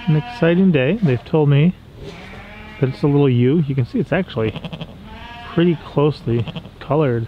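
A man at a medium pitch and moderate pace, with ordinary pitch variation, long and frequent pauses, and faint background noise.

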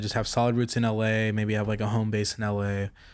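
A man's medium-pitched, monotone, flat delivery at a moderate pace. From Texas, Fort Worth area; Texas. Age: 20s. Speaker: apparel designer and entrepreneur; podcast guest. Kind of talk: casual interview chat. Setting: recorded in person in Hollywood. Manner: halting, many fillers. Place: home room. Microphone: studio mic.

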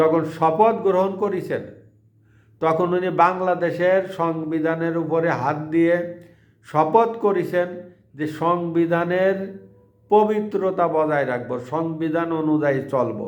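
A man speaks in a high pitch. There is audible room echo. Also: ordinary pitch variation. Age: old. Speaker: political commentary YouTuber. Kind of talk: monologue political commentary.

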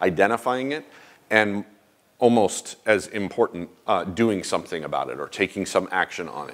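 A man with a fairly low pitch and ordinary pitch variation talks in a normal speaking voice. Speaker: conference presenter. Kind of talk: conference talk. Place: hall.

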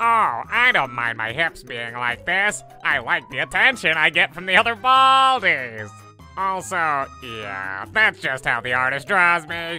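Using a put-on character voice, a man speaks at a fairly slow pace and fairly high pitch, swinging very widely in pitch over clear music in the background. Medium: dub. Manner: cheerful.

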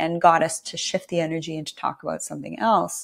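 A woman talks at a fairly quick pace, with a quiet background behind her. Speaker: podcast host and nurse; podcast host. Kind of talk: interview conversation. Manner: soft-spoken, does not raise voice. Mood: warm, engaged. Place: home room.

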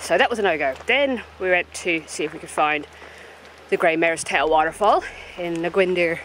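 The woman speaks at a moderate pace. The sound is dry with no echo, over light background noise. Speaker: travel vlogger. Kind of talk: casual vlog chat. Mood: mildly exasperated recap. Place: open country. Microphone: phone near.

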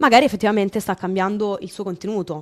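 The speech moves at a very fast pace over a quiet background. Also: woman. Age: 20s. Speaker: streamer. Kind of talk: casual chat. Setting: video call. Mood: calm but firm, explaining. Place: home room. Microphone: studio mic.

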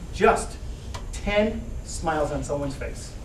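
At a moderate pace, a man talks with an American accent, with audible room echo and light background noise. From Detroit, Michigan, USA. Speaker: motivational keynote speaker. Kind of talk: motivational keynote speech. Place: classroom. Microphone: camera far.

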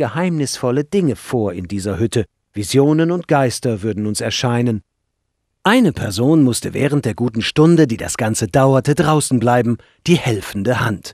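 A man's unremarkable speaking voice at medium pitch, with lively intonation, a moderate pace, a quiet background and a dry, close sound with no echo. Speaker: audiobook narrator. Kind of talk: audiobook reading, scripted first-person narration. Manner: measured, calm storytelling pace.

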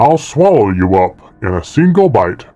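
A man puts on a character voice at a medium pitch. He keeps a moderate pace while his pitch swings very widely. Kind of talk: reading game text aloud in a character voice. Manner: menacing, hissing.

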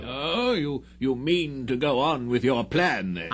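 A man does a put-on character voice at a medium pitch and a fairly slow pace. Background noise is clearly audible. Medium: audio drama.

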